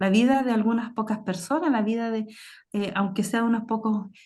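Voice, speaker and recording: Speaking at a moderate pace, a woman uses a fairly high, somewhat breathy voice with ordinary pitch variation. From southern Chile, Temuco area. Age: 40s. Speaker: author on Mapuche astronomy. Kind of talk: panel discussion. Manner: halting.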